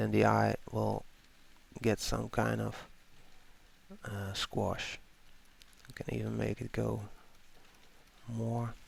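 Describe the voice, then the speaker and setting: Very slow delivery in a non-native accent, broken by long, frequent pauses. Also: man. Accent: non-native English speaker. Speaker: illustrator and art tutor. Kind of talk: tutorial. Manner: casual, with filler words.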